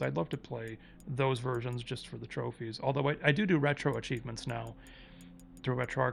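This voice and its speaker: A man's voice with music in the background. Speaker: gaming youtuber. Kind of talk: casual monologue. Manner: fast; casual, with fillers.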